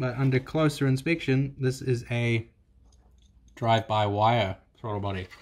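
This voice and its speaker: Speech at a moderate pace with ordinary pitch variation is marked by long, frequent pauses. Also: man. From New Zealand. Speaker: car mechanic YouTuber. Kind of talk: tutorial. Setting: garage workshop. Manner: casual. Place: garage. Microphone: phone near.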